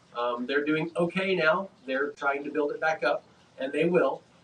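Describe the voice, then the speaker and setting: At a moderate pace, a man with a fairly high pitch talks with ordinary pitch variation over noticeable background noise. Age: 60s. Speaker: closet industry business consultant. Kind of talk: casual chat. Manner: animated.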